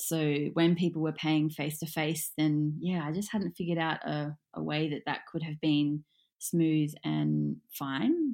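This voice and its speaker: A woman with an Australian accent speaks at a very deep, low pitch in a dark, mellow tone, with fairly even intonation. Her pace is fairly slow with hardly any pauses, and the recording is very clean with a silent background. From Australia, Gold Coast. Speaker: yoga teacher. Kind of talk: casual chat.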